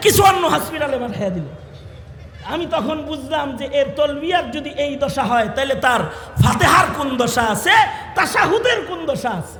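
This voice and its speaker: A raised, projected voice with lively intonation over noticeable background noise. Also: man. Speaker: Islamic preacher. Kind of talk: religious sermon.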